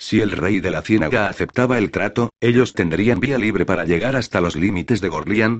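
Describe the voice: Ordinary pitch variation shapes this plain reading aloud.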